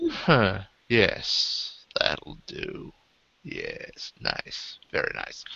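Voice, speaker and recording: Using a put-on character voice, a man talks at a very slow pace. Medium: actual play. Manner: polite, genteel.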